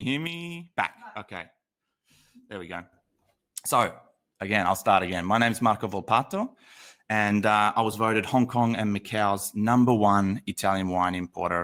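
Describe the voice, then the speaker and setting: With an Australian accent, a man speaks at a moderate pace and a fairly low pitch, animated in tone, with ordinary pitch variation and long, frequent pauses. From Australia, Sydney. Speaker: wine educator. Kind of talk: online masterclass livestream. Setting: livestream.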